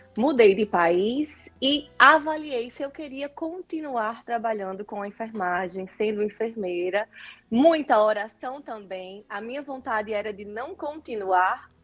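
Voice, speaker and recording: A woman speaks at a fairly slow pace with a fairly high pitch and lively intonation. Her loudness swings widely. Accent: northeastern Brazilian. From Northeast Brazil, Natal. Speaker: nurse turned image consultant. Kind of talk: interview.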